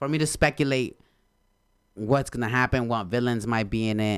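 With a Spanish accent and an animated tone, a man speaks at a moderate pace and medium pitch on a very clean recording with a silent background. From Honduras. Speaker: podcast co-host. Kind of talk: casual chat.

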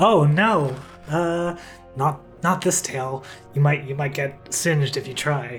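A woman puts on a character voice with a very deep, low pitch. She speaks at a very slow pace over clear music in the background. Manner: fiery, defiant.

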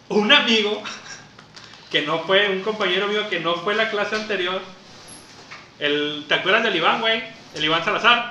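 A man's raised, projected voice, high-pitched, at a moderate pace with ordinary pitch variation, long and frequent pauses, and noticeable background noise. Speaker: podcast co-host. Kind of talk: casual chat.

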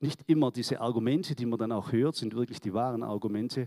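This man talks at a moderate pace in a medium pitch, with ordinary pitch variation and a dark, mellow tone. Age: 60s. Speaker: church member giving testimony. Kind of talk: testimony. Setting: church service.

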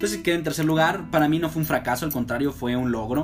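With music in the background, a man speaks using lively intonation. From Mexico, Aguascalientes. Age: 20s. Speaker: university student podcaster. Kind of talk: personal monologue. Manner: slurs some words; hesitant, many fillers.

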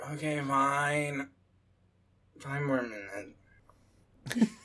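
A put-on character voice with lively intonation, delivered at a very slow pace. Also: man, fairly high pitch for a man. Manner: sleepy, reluctant.

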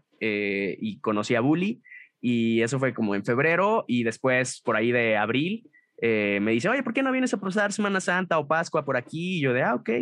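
With a Mexican accent, a man speaks at a moderate pace and medium pitch. His pitch swings very widely, and the background is quiet. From Mexico, Guadalajara. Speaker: voice actor and narrator. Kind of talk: interview. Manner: casual.

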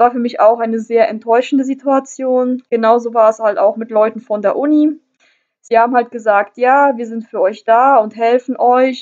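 Her pitch fairly high and intonation fairly even, a woman with a normal speaking voice talks at a moderate pace. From northern Germany. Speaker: travel podcaster. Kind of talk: personal storytelling monologue.

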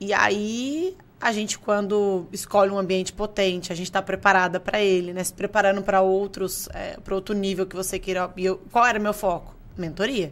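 A woman talks at a moderate pace and medium pitch. Her intonation stays fairly even. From Brazil, Franca (São Paulo state). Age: 30s. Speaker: entrepreneur and investor. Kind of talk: interview. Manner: halting.

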